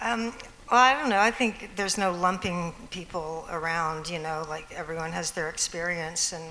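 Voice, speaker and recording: Speaking at a fairly slow pace, a woman with a fairly low pitch and a bright, sharp tone uses ordinary pitch variation, with audible room echo around her. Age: 60s. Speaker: musician. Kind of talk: panel discussion. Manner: halting.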